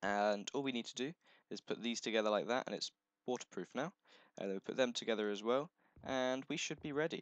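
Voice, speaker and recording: Very fast speech from a man, medium in pitch, with ordinary pitch variation. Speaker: gaming video creator. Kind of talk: let's play commentary. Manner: casual, halting with fillers.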